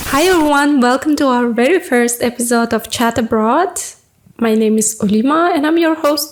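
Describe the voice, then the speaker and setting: A woman with a non-native accent speaks at a high pitch and a moderate pace. Her pitch varies in an ordinary way, and her loudness stays very even. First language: not English. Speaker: podcast host. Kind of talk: casual chat.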